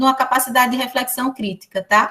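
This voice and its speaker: Her high-pitched voice moves at a fairly quick pace with ordinary pitch variation, the speaker a woman. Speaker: education professor. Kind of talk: lecture. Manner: fast.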